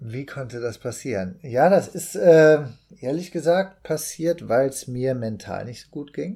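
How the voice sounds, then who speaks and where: This man talks at a medium pitch with lively intonation. His tone is dark and mellow. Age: 40s. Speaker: actor and amateur runner. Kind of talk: casual podcast chat.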